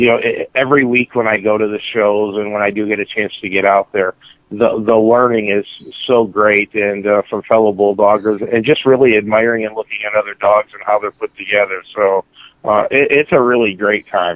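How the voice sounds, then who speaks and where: With an American accent, a man delivers an unremarkable speaking voice at a fairly low pitch, a moderate pace and fairly even intonation. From North Carolina, Charlotte. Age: 40s. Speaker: retail store director and bulldog show hobbyist. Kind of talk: interview.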